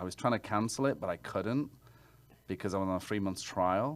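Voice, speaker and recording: A man with an English accent on a very clean recording with a silent background. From England. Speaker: realtor. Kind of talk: interview.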